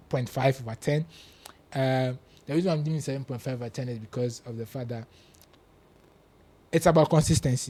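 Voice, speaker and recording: With a Ghanaian accent, a man talks at a very fast pace in a dark, mellow, somewhat breathy tone, medium in pitch with ordinary pitch variation. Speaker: football pundit. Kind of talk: casual chat. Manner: animated.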